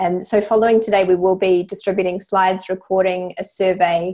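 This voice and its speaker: A woman speaks with a New Zealand accent. Her pace is fairly quick. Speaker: webinar host, company chief executive. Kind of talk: webinar moderation. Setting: online webinar.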